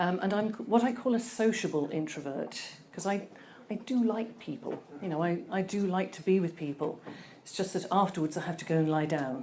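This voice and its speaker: In a room with audible echo, a woman with a medium-pitched voice and a dark, mellow tone speaks fairly quickly with lively intonation. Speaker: conference speaker. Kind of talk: presentation talk. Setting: stage with audience. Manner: soft-spoken; hesitant.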